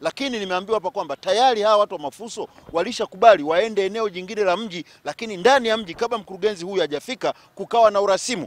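A man's high voice at a very fast pace, ordinary pitch variation, dry, close sound with no echo. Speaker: TV presenter. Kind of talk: TV field reporting and interview. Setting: on location around the city.

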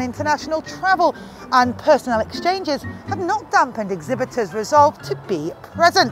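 A high-pitched woman talks at a moderate pace. Clear music plays in the background, and the sound is dry with no echo. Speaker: news correspondent. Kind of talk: news report to camera. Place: hall. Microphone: lapel.

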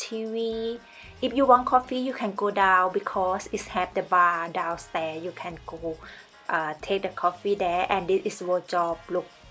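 A woman's voice at a fairly slow pace with ordinary pitch variation, faint music in the background. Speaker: travel vlogger. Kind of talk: casual vlog chat. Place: home room. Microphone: phone near.

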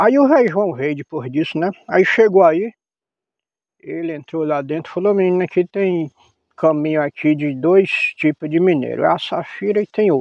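Here a man talks at a moderate pace with a high pitch. The sound is dry with no echo over a quiet background. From Bahia backcountry, Brazil. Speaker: farmer. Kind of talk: casual storytelling.

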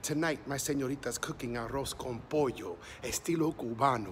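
Faint background noise runs beneath the speech. The man keeps a moderate pace. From US, Mexican border region. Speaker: poet. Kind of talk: spoken word poetry performance. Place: street. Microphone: phone near.

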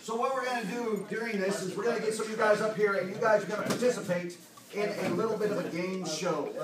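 Amid loud background noise and audible room echo, a man is talking. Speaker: panel host. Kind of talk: convention panel talk. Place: meeting room. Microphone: camera far.

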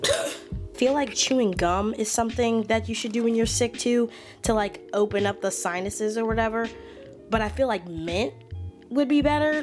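Over clear music in the background, a woman speaks at a moderate pace. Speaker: vlogger. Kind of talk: casual vlog chat. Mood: playful, slightly under the weather. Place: home room. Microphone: phone near.

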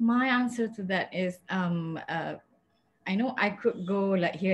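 At a fairly slow pace, a woman speaks at medium pitch with ordinary pitch variation and a somewhat breathy voice. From Malaysia. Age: 40s. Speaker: advocate for people who use drugs; panelist. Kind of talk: panel talk, personal testimony. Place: home room. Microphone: webcam.

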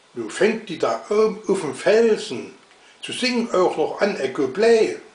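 In a Saxon accent, a man speaks at a very slow pace amid audible room echo. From Saxony. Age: old. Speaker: dialect reciter. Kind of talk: dialect poetry reading. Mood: humorous, calm. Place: home room. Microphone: webcam.

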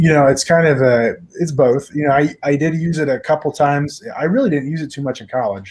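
Speaking at a fairly quick pace, a man has fairly high pitch. His tone is slightly mellow, with ordinary pitch variation.

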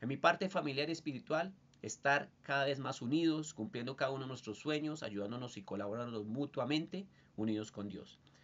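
A man with a fairly high voice and lively intonation at a fairly quick pace. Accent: Bogotá. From Colombia, Bogotá. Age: 30s. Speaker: student and industrial designer. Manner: formal. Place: home room. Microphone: webcam.

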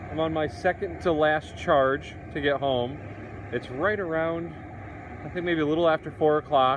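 Amid noticeable background noise, a man speaks at a fairly slow pace in a dry sound with no echo. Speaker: EV road trip vlogger. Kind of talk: casual vlog chat. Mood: relaxed, upbeat. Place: street. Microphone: phone near.

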